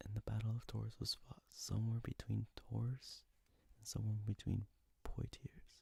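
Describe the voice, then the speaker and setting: The voice is whispering. It keeps a moderate pace. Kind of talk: ASMR history lesson, whispered narration. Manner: soft whispering.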